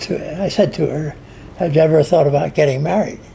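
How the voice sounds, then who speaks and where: Noticeable background noise sits behind a man's voice. His pitch is fairly high and his intonation fairly even. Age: 80s+. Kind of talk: storytelling in family conversation.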